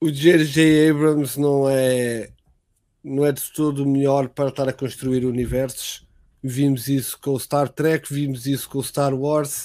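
A man with a European Portuguese accent speaks fairly slowly in a monotone, flat way, his voice fairly high in pitch yet dark and mellow in tone. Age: 30s. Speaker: podcast host and streamer. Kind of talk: casual chat.

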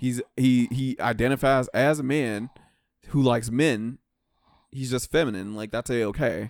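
An unremarkable speaking voice moves at a moderate pace with fairly even intonation. The very clean recording has a silent background and a dry, close sound with no echo. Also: man, medium pitch for a man. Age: 30. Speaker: podcast host. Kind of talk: casual chat.

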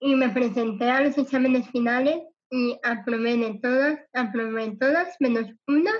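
Slowing to a fairly slow pace, a woman speaks at a high pitch with ordinary pitch variation. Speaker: cancer survivor and motivational speaker. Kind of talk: interview testimony.

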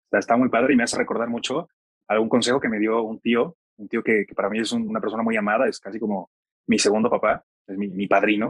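In an ordinary speaking voice, a man at a medium pitch speaks at a fairly quick pace with fairly even intonation, the sound dry and close with no echo. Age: 30s. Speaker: podcast host. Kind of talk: interview.

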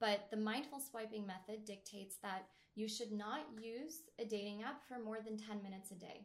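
With a plain, everyday voice, a woman speaks at a moderate pace and a fairly high pitch. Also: ordinary pitch variation. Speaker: dating coach. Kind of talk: interview conversation.

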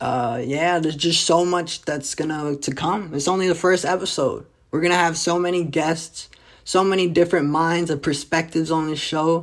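An animated voice with a New Jersey accent at a moderate pace, on a very clean recording with a silent background. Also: man. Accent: New Jersey urban American. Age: 20s. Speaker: comedian. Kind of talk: casual monologue.

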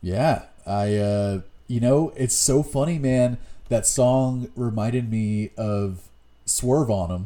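Very slowly, a man talks in a dark, mellow tone. His pitch varies in an ordinary way. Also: medium pitch for a man, very clean recording, silent background. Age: 30s. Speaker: music podcast co-host. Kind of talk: casual chat.

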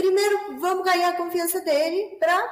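The speaker is a woman. She talks with a Peruvian accent. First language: Spanish (speaking Portuguese). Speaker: business development manager. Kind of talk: webinar moderation. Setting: online webinar.

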